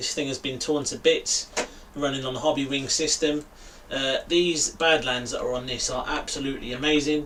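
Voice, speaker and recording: A man's fairly high-pitched voice with a slight London accent, monotone and flat, at a moderate pace over noticeable background noise. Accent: London accent, a bit. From East London, England. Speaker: RC hobby YouTuber. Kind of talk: live stream chat. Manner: casual, filler-heavy.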